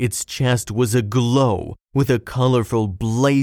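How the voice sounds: Quiet background behind a natural reading voice.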